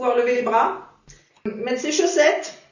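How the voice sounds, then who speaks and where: A woman speaks in a high voice, with audible echo from the room. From France, Sarthe. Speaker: adapted physical activity instructor. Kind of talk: interview.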